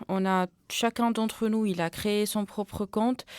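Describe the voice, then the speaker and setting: A woman with a medium pitch talks at a fairly slow pace, recorded with a dry, close sound and no echo. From Tunisia. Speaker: community radio journalist. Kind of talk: radio interview. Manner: halting, many fillers and repetitions.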